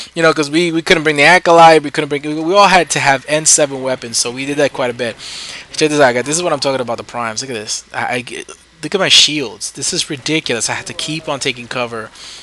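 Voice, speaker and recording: Very fast speech with an American accent and ordinary pitch variation, over noticeable background noise. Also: man, fairly high pitch for a man. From New York City, the Bronx. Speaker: gaming YouTuber. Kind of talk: gameplay commentary. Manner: casual, hesitant with fillers.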